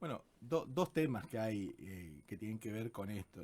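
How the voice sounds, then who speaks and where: A man's fairly low voice at a moderate pace, with very wide pitch swings. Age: 60s. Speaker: constitutional lawyer. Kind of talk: radio interview.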